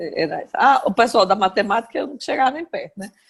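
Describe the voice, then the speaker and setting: A woman talks at a fairly quick pace in a fairly high voice. Her delivery is somewhat breathy. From Brazil, Aracaju (Sergipe). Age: 60s. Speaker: journalist. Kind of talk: interview, personal memories.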